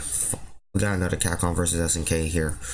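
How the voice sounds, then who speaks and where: A man with a very deep, low pitch and vocal fry, at a fairly quick pace, with audible room echo. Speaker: game streamer. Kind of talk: live stream reaction. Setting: at home, early morning stream. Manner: soft-spoken.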